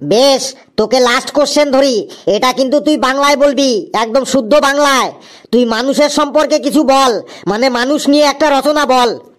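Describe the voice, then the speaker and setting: A cartoonish character voice speaks at a high pitch. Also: moderate pace. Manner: gruff, impatient.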